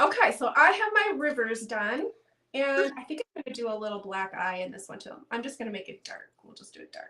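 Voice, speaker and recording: A fairly quick delivery with a Midwestern accent, very wide pitch swings and big swings in loudness. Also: woman. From Iowa, US Midwest. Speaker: painting teacher. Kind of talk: tutorial.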